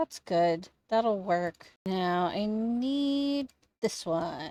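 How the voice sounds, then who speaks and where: A quiet woman's voice at medium pitch, dark and mellow in tone, with lively intonation, a very slow pace, and a dry, close sound with no echo. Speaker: Sims gaming YouTuber. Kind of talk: casual gameplay commentary.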